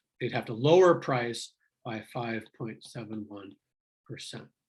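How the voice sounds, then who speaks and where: This man talks at a fairly slow pace in a medium pitch. His voice carries vocal fry. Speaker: economics instructor. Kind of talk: lecture.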